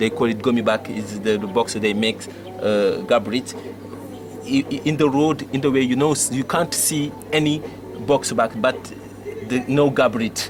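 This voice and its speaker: Over music in the background, a man with a medium pitch talks at a moderate pace with ordinary pitch variation and long, frequent pauses. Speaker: TV show host. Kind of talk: interview. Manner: halting.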